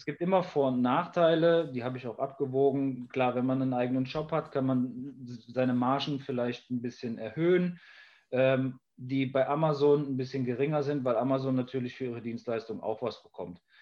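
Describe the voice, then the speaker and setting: A man speaks at a moderate pace in a medium pitch, with fairly even intonation. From Rhineland, Germany (Jülich near Cologne). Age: 30s. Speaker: entrepreneur and project manager. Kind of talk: casual interview. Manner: hesitant, many fillers.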